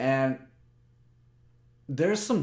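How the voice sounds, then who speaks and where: Loud and at a moderate pace, a man talks with very wide pitch swings. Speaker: personal development vlogger. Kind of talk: motivational talk to camera. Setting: webcam recording. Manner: halting, with repetitions.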